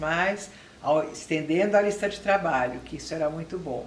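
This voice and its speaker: Over noticeable background noise and audible room echo, a woman speaks at a moderate pace with a fairly low pitch and ordinary pitch variation. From Brazil, São Paulo. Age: 60s. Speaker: retired public relations professional with Alzheimer's. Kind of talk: interview testimony.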